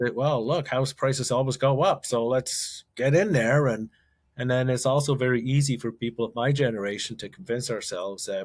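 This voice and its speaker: The recording is very clean with a silent background, and the man talks at a moderate pace, his pitch varying in an ordinary way. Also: medium pitch for a man. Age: 60s. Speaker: investor and author. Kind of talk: interview conversation. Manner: halting, with frequent repetitions.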